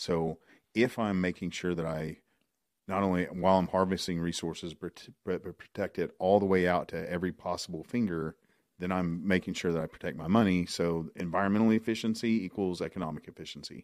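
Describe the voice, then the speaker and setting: With an American accent, a man talks at a fairly quick pace in a very deep, low pitch and fairly even intonation, on a very clean recording with a silent background. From Oklahoma. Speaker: oil and gas podcast host. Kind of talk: casual chat. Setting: studio.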